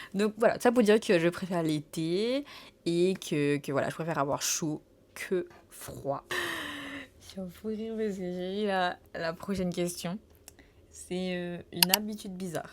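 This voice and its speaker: A woman's medium-pitched voice with ordinary pitch variation, a fairly slow pace and long, frequent pauses. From Saint Martin, Caribbean. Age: 20s. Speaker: travel vlogger. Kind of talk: casual Q&A chat to camera. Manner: hesitant, many fillers and repetitions.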